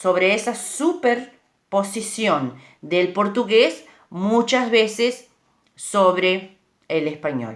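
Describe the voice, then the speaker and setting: A woman speaks very slowly at a medium pitch. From Uruguay. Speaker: speaker on bilingualism. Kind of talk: informal talk. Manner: hesitant, with fillers.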